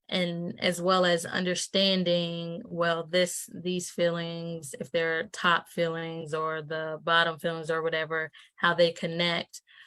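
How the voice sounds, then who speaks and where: A woman talks in a fairly low pitch with a monotone, flat intonation. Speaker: entrepreneur and activist, guest. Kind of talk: interview conversation. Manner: hesitant, many ums.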